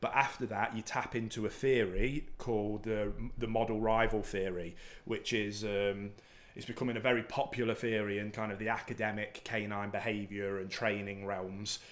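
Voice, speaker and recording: A man's fairly low voice, flat and monotone, at a moderate pace. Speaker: dog trainer host. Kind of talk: Q&A explanation. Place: home room. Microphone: studio mic.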